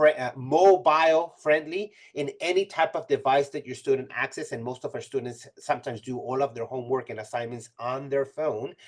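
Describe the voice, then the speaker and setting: The speaker uses a Spanish accent at a moderate pace with hardly any pauses. Loudness swings widely throughout. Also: man. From Mexico (Tijuana). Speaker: college instructor. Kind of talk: webinar presentation. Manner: halting, frequent fillers and restarts.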